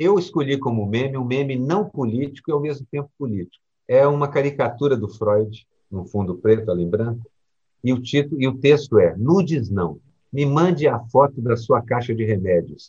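A man's medium-pitched, somewhat breathy voice, dark and mellow in tone, with lively intonation. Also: moderate pace. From Brazil, Minas Gerais. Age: old. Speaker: cartoonist and podcast co-host. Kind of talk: casual chat.

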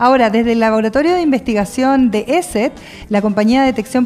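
A woman speaks with a Chilean accent at a fairly quick pace. Her high pitch shows ordinary variation, and there is noticeable background noise. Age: 40s. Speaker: radio host. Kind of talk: casual radio chat.

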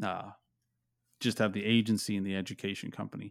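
A man with an American accent speaks in a fairly low, monotone voice with flat intonation, recorded very cleanly over a silent background. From US, Pennsylvania small town. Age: 30s. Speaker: digital marketing agency owner. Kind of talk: interview. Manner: halting, many fillers.

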